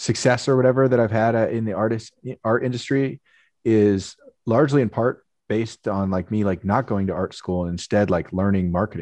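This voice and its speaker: Using an unremarkable speaking voice with an American accent, a man speaks at a moderate pace and fairly low pitch, with ordinary pitch variation against a quiet background. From US West Coast, Marin County, California. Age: 30s. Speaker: painter and sports artist. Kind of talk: casual interview. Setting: video call.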